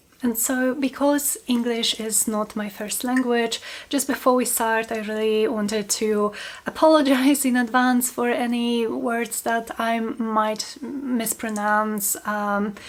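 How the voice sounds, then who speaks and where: A woman with a Polish accent, fairly high-pitched, fairly even in intonation, at a very slow pace, amid noticeable background noise. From Poland. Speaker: book channel host, small business owner. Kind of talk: casual vlog talk to camera.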